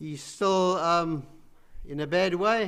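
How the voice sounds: A man speaks slowly at a high pitch with ordinary pitch variation. His tone is clear, smooth and fairly bright.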